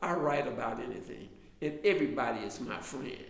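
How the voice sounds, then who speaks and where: A man with an American accent talks at a moderate pace, with audible room echo around him. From US South, Alabama. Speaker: author and drama lecturer. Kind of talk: casual online class talk. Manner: halting.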